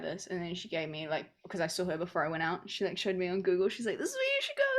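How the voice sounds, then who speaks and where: A woman with a New Zealand accent talks at a very fast pace, her medium-pitched voice keeping a fairly even intonation. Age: 20s. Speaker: podcast co-host. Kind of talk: casual chat. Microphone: unstable internet connection.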